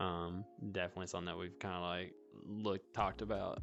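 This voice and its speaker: A man with a strong Alabama accent at a very fast pace, music in the background. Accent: Southern US (Alabama), strong. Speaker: VR club owner and podcast host. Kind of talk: casual chat.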